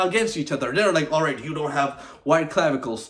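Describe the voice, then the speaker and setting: An animated voice comes through over noticeable background noise. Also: man. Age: 20s. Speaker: vlogger. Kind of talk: casual monologue to camera. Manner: animated, informal; stuttering, halting at times.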